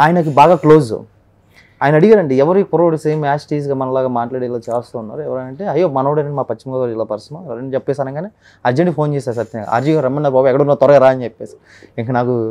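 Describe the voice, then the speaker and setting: A man's dark, mellow tone with ordinary pitch variation over a quiet background. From West Godavari, Andhra Pradesh, India; Andhra Pradesh. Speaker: mimicry artist; interview guest. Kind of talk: interview. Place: studio. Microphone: lapel.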